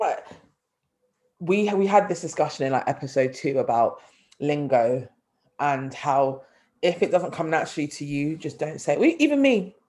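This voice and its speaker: A London accent with long, frequent pauses on a very clean recording against a silent background. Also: moderate pace. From London, North London. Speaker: podcast co-host. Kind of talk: casual chat. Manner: animated.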